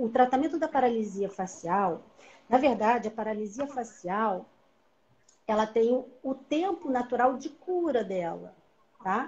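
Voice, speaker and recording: A woman speaks at a very slow pace. Her high voice moves through very wide pitch swings. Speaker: physiotherapist and educator; educator. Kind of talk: online live lecture. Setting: live video stream. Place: home room. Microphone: video call.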